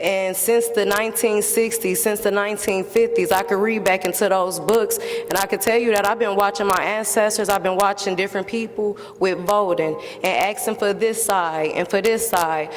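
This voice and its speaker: A woman speaks at medium pitch and a moderate pace with hardly any pauses. Her loudness is very even, her intonation fairly even, and noticeable background noise is present. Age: 30s. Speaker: member of the public. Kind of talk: public testimony. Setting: public hearing. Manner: impassioned.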